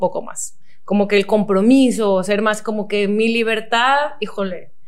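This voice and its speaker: Speaking at a moderate pace, a woman with a Mexican accent and a fairly high pitch is heard amid audible room echo and noticeable background noise. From Mexico, Cozumel. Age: 20s. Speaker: nutritionist and athlete. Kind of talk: casual interview chat.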